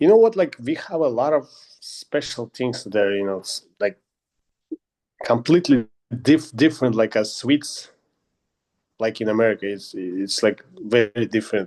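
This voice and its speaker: A man with a Russian accent speaks at a medium pitch and moderate pace with lively intonation and long, frequent pauses, in a dry, close sound with no echo. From Kazakhstan. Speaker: MMA fighter. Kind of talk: interview. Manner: halting.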